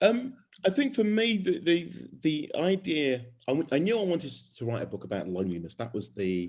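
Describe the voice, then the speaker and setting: Speaking with a Birmingham accent, a man talks at a fairly quick pace. His fairly high pitch makes very wide swings. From England, Birmingham. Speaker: author. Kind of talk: casual chat; reading aloud. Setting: video call. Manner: halting.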